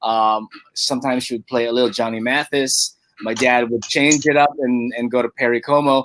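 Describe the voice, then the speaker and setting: A man with a Filipino accent, medium in pitch, with monotone, flat intonation, a fairly quick pace, and a dry, close sound with no echo. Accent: Filipino accent, praised by guest. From Philippines. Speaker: radio host. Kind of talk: radio interview. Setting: radio studio, live broadcast.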